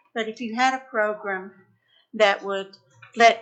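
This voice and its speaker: A woman speaks with a Tennessee accent at a medium pitch. Her intonation is flat and monotone. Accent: Southern US (Tennessee). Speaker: citizen speaking at public forum. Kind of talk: public comment. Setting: county commission meeting room.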